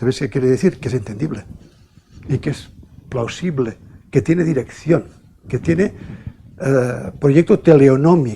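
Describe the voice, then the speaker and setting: At a fairly slow pace, with long, frequent pauses, the speaker uses lively intonation in a dark, mellow tone that is somewhat breathy. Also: man, medium pitch for a man. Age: 70s. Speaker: archaeologist. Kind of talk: lecture.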